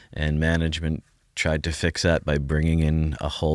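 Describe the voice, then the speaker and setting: Delivered at a moderate pace, the speech is a very clean recording with a silent background. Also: man. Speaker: fantasy hockey podcast co-host. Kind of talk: casual chat.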